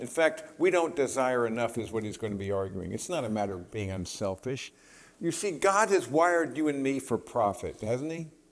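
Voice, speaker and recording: A man talks at a fairly quick pace with a medium pitch. His pitch swings very widely. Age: 70s. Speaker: Bible study teacher. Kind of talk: lecture. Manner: halting.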